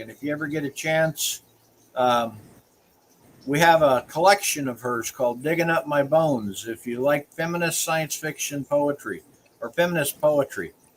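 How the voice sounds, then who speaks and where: A man with an American accent talks at a moderate pace. His pitch is fairly high, with ordinary variation. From US South. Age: 60s. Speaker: small-press publisher and show host. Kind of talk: casual interview chat.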